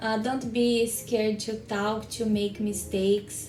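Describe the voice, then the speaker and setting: A woman talks with a Brazilian Portuguese accent at a fairly high pitch. Her intonation is monotone and flat. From Minas Gerais, Brazil. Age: young. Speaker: skincare specialist. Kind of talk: interview answer. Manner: warm, friendly.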